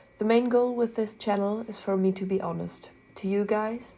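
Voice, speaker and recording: A woman with a German accent speaks at a moderate pace and medium pitch. Her tone is dark and mellow, and her intonation is fairly even. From Germany. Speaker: artist, art commentary youtuber. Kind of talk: casual commentary over speedpaint.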